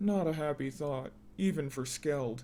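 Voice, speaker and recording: Putting on a character voice, a man speaks at a moderate pace in a fairly high pitch with ordinary pitch variation, clear background noise behind him. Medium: read story. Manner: grim.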